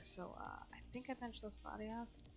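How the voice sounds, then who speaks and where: A woman speaks quietly. Audible room echo is heard around her voice. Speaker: gaming commentator. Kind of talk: gameplay voice-over commentary. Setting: home recording at night. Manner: hesitant, many fillers.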